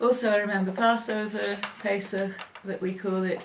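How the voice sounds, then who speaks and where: A woman talks in a monotone, flat intonation at a moderate pace. Noticeable background noise sits behind her. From northern England, Preston, Lancashire. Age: 50s. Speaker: oral history interviewee. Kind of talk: oral history interview. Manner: hesitant, with frequent ums.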